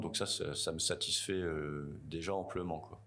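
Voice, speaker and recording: A man's pitch varies in an ordinary way as audible room echo trails his words. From France, Tours. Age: 40s. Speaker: waste collection business owner. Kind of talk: interview. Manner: halting, many fillers.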